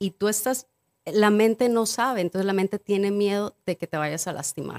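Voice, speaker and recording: A woman with an ordinary speaking voice, medium pitch and fairly even intonation, at a moderate pace, in a dry, close sound with no echo. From Mexico, Acapulco. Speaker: cacao ceremony guide, businesswoman. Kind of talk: casual chat.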